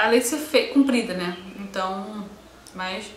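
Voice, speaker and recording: Amid noticeable background noise and audible room echo, a woman talks at a medium pitch with lively intonation. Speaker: beauty and motherhood vlogger. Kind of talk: personal birth story vlog. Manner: animated.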